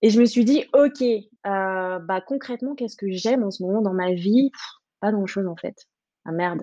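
Over a quiet background, a woman speaks at a medium pitch with a dark, mellow tone and ordinary pitch variation. Her pace is moderate, with long, frequent pauses and big swings in loudness. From French Guiana. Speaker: startup programme director. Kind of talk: casual interview. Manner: hesitant, many fillers.

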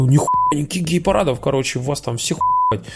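A man talks at a very fast pace in a fairly high pitch. Noticeable background noise runs behind him. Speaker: podcast host. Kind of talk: casual chat, Q&A. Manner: informal, joking, swearing.

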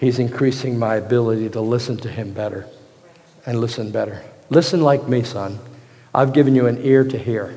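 Fairly quick, somewhat breathy speech with fairly even intonation and audible room echo. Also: man, medium pitch for a man. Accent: American. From Virginia, US. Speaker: pastor. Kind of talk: sermon.

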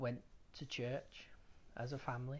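At a fairly slow pace, a man with a medium pitch speaks in a somewhat breathy voice with fairly even intonation. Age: 30s. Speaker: podcast host. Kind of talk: personal testimony.

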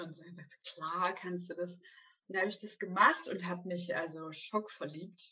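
A woman has an unremarkable speaking voice at a fairly low pitch, with ordinary pitch variation. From southwestern Germany, Stuttgart area. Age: 30s. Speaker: ballet teacher and entrepreneur. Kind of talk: interview. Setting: video call.

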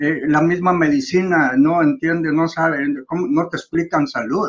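A man with a high voice talks fairly slowly, his pitch varying in an ordinary way. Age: 80s+. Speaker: trophologist. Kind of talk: interview. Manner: halting.

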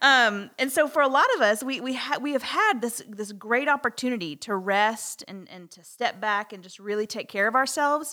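Bright and sharp in tone, a woman speaks at a high pitch with hardly any pauses. Her loudness swings widely. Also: moderate pace. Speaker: podcast co-host. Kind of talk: casual chat. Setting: studio.

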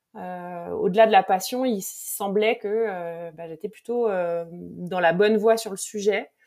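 At a very slow pace, a woman talks at a medium pitch with fairly even intonation and big swings in loudness. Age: 40s. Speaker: mental performance coach. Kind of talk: interview.

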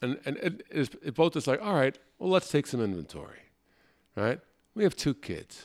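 A fairly high-pitched man with vocal fry and very wide pitch swings, at a moderate pace with long, frequent pauses, on a very clean recording with a silent background. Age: 50s. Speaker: improv comedian and podcast host. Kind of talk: casual chat.

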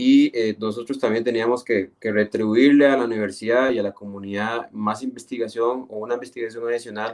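A man with a medium-pitched voice talks at a moderate speed. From Costa Rica, Esparza (Puntarenas). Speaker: geographer, municipal urban planner. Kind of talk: radio interview. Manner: halting, frequent repetitions.

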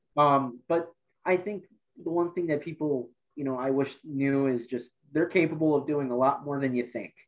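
At a moderate pace, a man with an Ohio accent speaks fairly high in pitch with ordinary pitch variation. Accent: Midwestern American (Ohio). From northeast Ohio, Lorain County. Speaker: workforce development coordinator. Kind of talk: interview.

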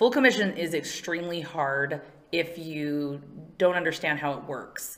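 Over noticeable background noise, a voice with an American accent moves at a moderate pace, with ordinary pitch variation and big swings in loudness. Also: woman, fairly low pitch for a woman. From California. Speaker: mortgage marketing and HR manager. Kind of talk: interview. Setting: studio.

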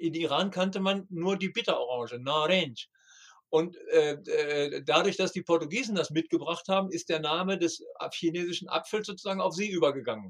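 A man with a high-pitched voice talks at a moderate pace, his pitch moving up and down in an ordinary way. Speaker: travel guide author and tour operator. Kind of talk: casual interview. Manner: halting, with repetitions.

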